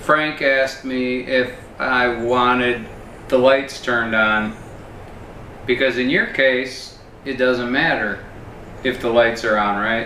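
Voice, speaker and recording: A man's very slow, monotone medium-pitched speech with long, frequent pauses, amid audible room echo and noticeable background noise. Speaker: YouTube host, interviewer. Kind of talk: casual interview. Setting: in a kitchen at a home. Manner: loud and clear.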